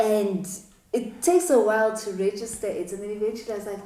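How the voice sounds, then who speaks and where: Over noticeable background noise and audible room echo, a woman speaks at a moderate pace and medium pitch with lively intonation. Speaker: doctor and talk show host. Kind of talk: interview.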